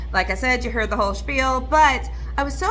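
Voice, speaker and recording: With music in the background and audible room echo, a woman speaks at a moderate pace. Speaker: special education teacher and video creator. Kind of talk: casual vlog and product review.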